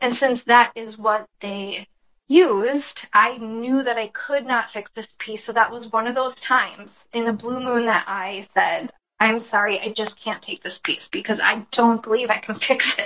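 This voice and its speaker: A woman with an American accent and an unremarkable speaking voice, fairly high in pitch, at a fairly slow pace, with fairly even intonation and big swings in loudness. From Minnesota, US. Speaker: furniture refinisher. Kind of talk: casual interview.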